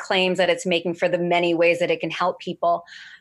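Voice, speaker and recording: Using an ordinary speaking voice, a woman with an American accent talks at a medium pitch. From New Jersey (Brick). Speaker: CBD company worker. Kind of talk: interview.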